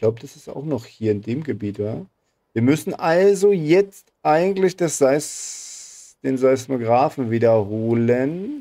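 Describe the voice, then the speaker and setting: A man's medium-pitched voice, dark and mellow in tone, with lively intonation and big swings in loudness. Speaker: gaming YouTuber. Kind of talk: let's play commentary. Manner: fast. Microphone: current microphone, new one ordered.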